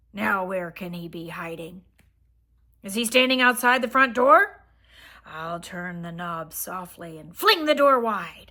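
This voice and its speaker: Raspy and fairly slow, this put-on character voice has lively intonation and big swings in loudness. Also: woman, medium pitch for a woman. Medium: read story. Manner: playful, warm.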